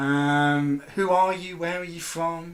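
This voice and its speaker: A man with a high-pitched voice speaks in a bright, sharp tone with ordinary pitch variation. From English Midlands. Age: 20s. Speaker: film lecturer and chat host. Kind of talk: casual chat. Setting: live video chat.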